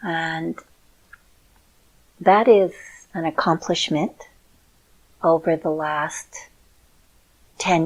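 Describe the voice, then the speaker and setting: Pitched very deep and low, a woman speaks with ordinary pitch variation. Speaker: show host and clinical hypnotherapist. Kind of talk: casual talk to camera.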